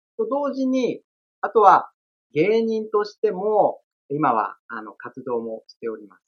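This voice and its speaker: The speech moves at a fairly slow pace. Its loudness swings widely. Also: man. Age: 40s. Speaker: estate-law administrative scrivener and former comedian. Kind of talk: interview. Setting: video call.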